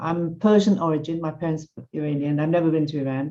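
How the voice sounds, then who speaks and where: A woman's dark, mellow tone in a London accent, at a moderate pace with fairly even intonation. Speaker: religious teacher and author. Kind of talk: online class talk with personal stories.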